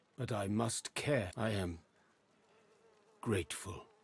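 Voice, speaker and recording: A man puts on a character voice with a fairly low pitch. He speaks at a fairly slow pace. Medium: video game. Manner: formal, measured speech without contractions.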